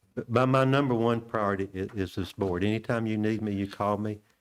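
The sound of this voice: A man's fairly low voice with a clear, smooth tone, fairly even intonation and a fairly quick pace.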